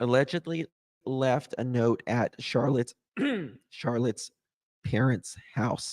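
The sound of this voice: A man uses a put-on character voice, hoarse and raspy at medium pitch, in a very clean recording with a silent background. He goes at a fairly slow pace with long, frequent pauses.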